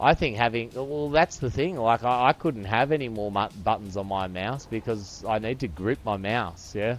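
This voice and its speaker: With music in the background, a man in an Australian accent talks at a moderate pace and medium pitch in an animated tone, with hardly any pauses. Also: ordinary pitch variation. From Australia, northern beaches. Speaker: game streamer. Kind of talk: casual chat.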